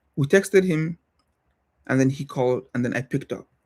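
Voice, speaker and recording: The recording is very clean, with a silent background. A man with a non-native accent talks at a moderate pace in a fairly high voice with ordinary pitch variation. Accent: noticeable non-native English. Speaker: software developer and livestreamer. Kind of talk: casual livestream talk. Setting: livestream. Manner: halting, with self-corrections.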